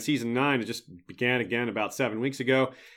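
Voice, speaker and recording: A man with a medium pitch is heard on a very clean recording with a silent background. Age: 40s. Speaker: podcast host. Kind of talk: livestream Q&A.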